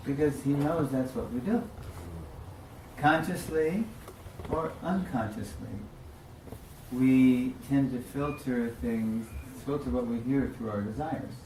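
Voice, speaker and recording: Through noticeable background noise and audible room echo, a man with a medium-pitched voice and ordinary pitch variation talks at a fairly slow pace, taking long, frequent pauses. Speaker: religious teacher. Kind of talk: religious class lecture.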